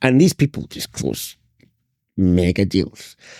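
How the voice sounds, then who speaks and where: A man with a Scottish accent has a dark, mellow tone and vocal fry, recorded very cleanly against a silent background with a dry, close sound and no echo. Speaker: sales trainer. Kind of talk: interview. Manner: animated.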